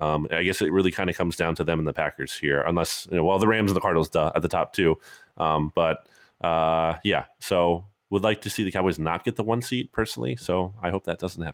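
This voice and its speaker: In a very clean recording with a silent background and a dry, close sound with no echo, a man speaks very fast in a very deep, low pitch with ordinary pitch variation. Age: 30s. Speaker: podcast co-host. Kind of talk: casual chat.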